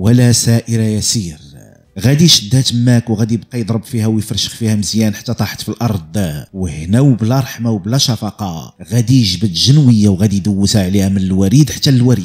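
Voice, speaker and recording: With a Moroccan accent, a man talks at a fairly quick pace with hardly any pauses and a fairly low pitch. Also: ordinary pitch variation. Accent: Moroccan Arabic (Darija). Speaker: true crime storyteller. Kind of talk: storytelling narration.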